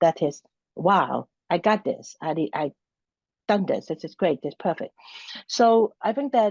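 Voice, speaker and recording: A woman with a Hong Kong accent at medium pitch, moderate pace and long, frequent pauses. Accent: Hong Kong Cantonese-accented English. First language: Cantonese. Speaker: university center director. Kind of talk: interview. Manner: halting, many fillers and restarts.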